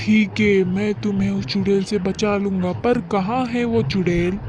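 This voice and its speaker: In a cartoonish character voice pitched high, a man speaks at a moderate pace over clear background noise. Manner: firm, authoritative.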